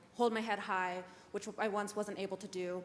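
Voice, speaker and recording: A woman uses a normal speaking voice at medium pitch. She talks at a fairly quick pace with fairly even intonation. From Saskatchewan, Canada. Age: 19. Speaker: youth panelist, university student. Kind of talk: panel discussion. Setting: conference stage with audience.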